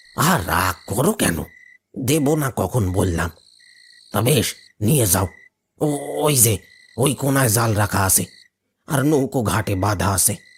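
A raspy, cartoonish character voice. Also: man, medium pitch for a man, moderate pace. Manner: respectful, cautionary.

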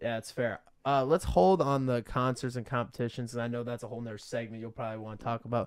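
A man speaks at a very fast pace with hardly any pauses, his loudness swinging widely. His intonation stays fairly even against a quiet background. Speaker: interviewer and channel host; interviewer, channel host. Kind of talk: casual interview. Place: home room. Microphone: studio mic.

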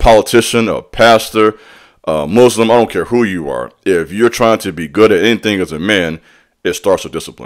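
Quiet background behind a man speaking at a moderate pace. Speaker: fitness vlogger. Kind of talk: casual vlog chat. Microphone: studio mic.

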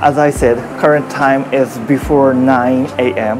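A man talks at a very slow pace. Clear music plays in the background. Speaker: travel vlogger. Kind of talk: casual vlog chat. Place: street. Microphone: lapel.

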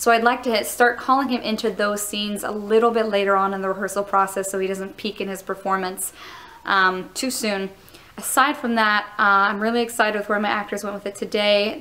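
Fairly quick delivery with fairly even intonation. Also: woman. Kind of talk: reflective vlog about rehearsal. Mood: thoughtful, pleased. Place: stage. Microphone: phone near.

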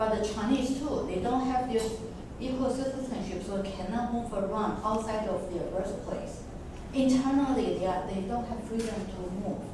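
Strong room echo surrounds the voice, with noticeable background noise. The pace is moderate. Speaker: discussion moderator. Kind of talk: academic discussion. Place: classroom.

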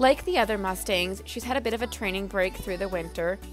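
Music plays in the background as a woman speaks fairly quickly. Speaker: mustang trainer. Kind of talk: video narration.

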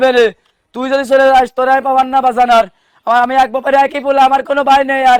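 This man's voice has an extremely high pitch and monotone, flat intonation. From Bangladesh. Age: 20s. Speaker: returned migrant worker. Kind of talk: testimony. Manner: emotional, repetitive.

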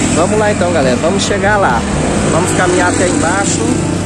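A man speaks with music in the background, the sound dry with no echo. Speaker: travel vlogger. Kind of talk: casual vlog tour narration. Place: street. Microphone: phone near.

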